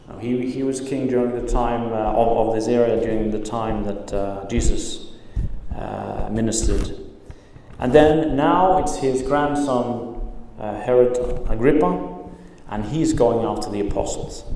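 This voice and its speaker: Audible room echo and noticeable background noise surround the voice. A man speaks at a fairly slow pace with ordinary pitch variation. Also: medium pitch for a man. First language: not English. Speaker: pastor. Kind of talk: sermon. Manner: halting, many fillers.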